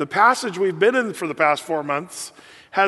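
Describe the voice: This is plain reading aloud. Its intonation is lively.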